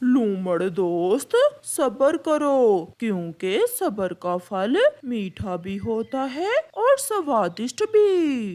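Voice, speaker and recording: A cartoonish character voice drawls very slowly with hardly any pauses. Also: female-sounding voice, fairly high pitch for a woman. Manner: sweetly deceitful.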